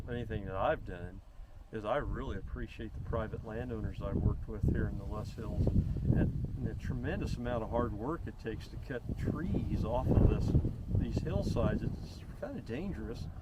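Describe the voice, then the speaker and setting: A man in a rural Missouri accent at a moderate pace, with audible room echo and noticeable background noise. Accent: Midwestern US, rural Missouri. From northwestern Missouri. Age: 60s. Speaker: conservationist. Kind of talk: casual chat. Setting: outdoors.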